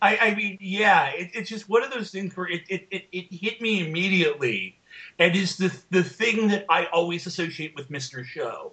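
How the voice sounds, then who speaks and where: A man's raised, projected voice at a high pitch, bright and sharp in tone, with big swings in loudness, ordinary pitch variation and a moderate pace. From United States. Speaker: podcast co-host. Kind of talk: casual chat.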